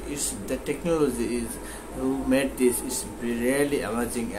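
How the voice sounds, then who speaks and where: Noticeable noise sits in the background while a man talks. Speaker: reaction video host. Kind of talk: casual vlog chat.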